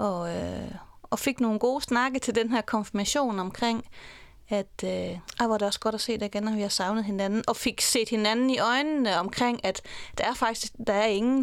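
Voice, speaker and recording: On a very clean recording with a silent background, a woman with an ordinary speaking voice talks at a fairly high pitch and moderate pace, with ordinary pitch variation. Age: 40s. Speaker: divorced mother. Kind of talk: interview. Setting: studio.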